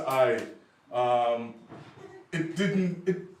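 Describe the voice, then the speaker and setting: A man's voice sits fairly high, with ordinary pitch movement, while noticeable background noise and audible room echo surround it. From Liverpool, England, Jamaican family. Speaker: poet. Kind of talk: conference talk. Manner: animated.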